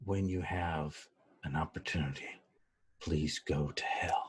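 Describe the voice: Here a man is doing a put-on character voice. He pitches it very deep and low.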